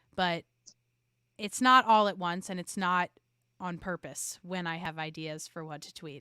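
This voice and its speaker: A woman with a New York accent speaks at a moderate pace in a medium pitch, her bright, sharp, animated tone carrying ordinary pitch variation in a dry, close recording that is very clean with a silent background and no echo. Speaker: podcast marketing expert. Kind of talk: interview conversation.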